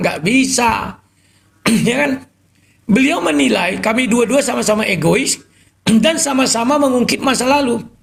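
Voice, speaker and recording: Speaking at a moderate pace, a man with an extremely high pitch uses lively intonation and keeps his loudness very even. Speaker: live stream host taking callers. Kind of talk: live stream talk with callers. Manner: explosive, loud.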